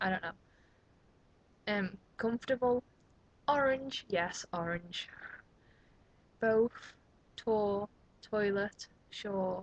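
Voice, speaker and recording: A woman with a Liverpool accent speaks at a very slow pace with long, frequent pauses, medium pitch and ordinary pitch variation, in a dry, close sound with no echo. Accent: Liverpool (Scouse). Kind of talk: casual vlog talk to camera.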